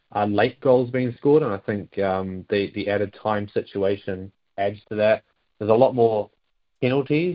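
A man's fairly low voice in a New Zealand accent, with ordinary pitch variation. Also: moderate pace. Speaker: football fan club representative. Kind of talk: casual interview. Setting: phone call.

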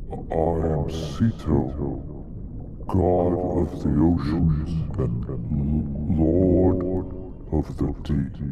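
A man does a booming, put-on character voice at a very slow pace with long, frequent pauses. Loud background noise runs underneath. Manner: grand, commanding.

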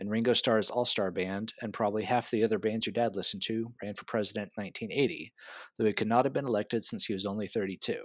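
A man with an American accent speaks at a medium pitch. His is a plain, everyday voice with fairly even intonation. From Texas. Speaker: guest quiz host, transit worker. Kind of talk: reading trivia questions. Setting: remote recording.

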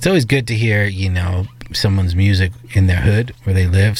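The speaker is a man with a fairly low pitch. He talks at a fairly quick pace. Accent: New York. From New York. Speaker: radio host. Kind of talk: casual chat. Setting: studio. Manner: animated.

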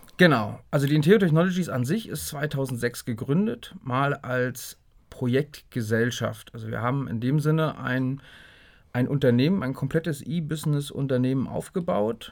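Recorded very cleanly against a silent background, a man talks at a moderate pace and medium pitch with ordinary pitch variation. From northeastern Germany, Greifswald. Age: 40s. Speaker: software company director. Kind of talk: interview. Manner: hesitant with many fillers.

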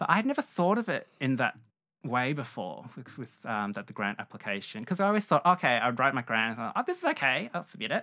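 A man's medium-pitched, bright, sharp voice in an Australian accent, very fast and with very wide pitch swings. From Melbourne, Australia. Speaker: painter. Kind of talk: interview. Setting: studio.

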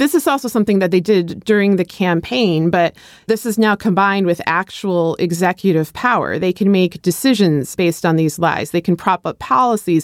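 In a plain, everyday voice, a woman speaks at medium pitch and a moderate pace with ordinary pitch variation, the sound dry and close with no echo. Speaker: podcast co-host and commentator. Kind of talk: interview discussion.

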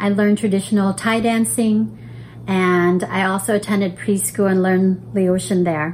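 A woman talks at a moderate pace and medium pitch, keeping her loudness very even. Noticeable background noise sits behind her. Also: ordinary pitch variation. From born in Laos, raised as refugee then resettled in US. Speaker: church member giving testimony. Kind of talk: testimony.

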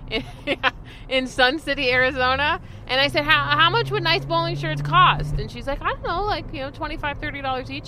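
In an American accent, the speaker uses a raised, projected voice at a moderate pace, with very wide pitch swings and noticeable background noise. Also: woman. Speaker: comedian. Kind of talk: casual chat. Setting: in a car.

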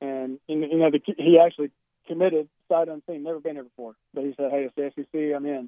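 A man speaks with a Southern US accent and a fairly high pitch. His intonation is monotone and flat. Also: fairly quick pace. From South Carolina, Columbia. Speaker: college football coach. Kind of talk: phone interview. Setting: phone call.

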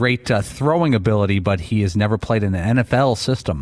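At a fairly quick pace, a man speaks in a fairly low pitch on a very clean recording with a silent background. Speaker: radio co-host. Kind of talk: casual radio banter.

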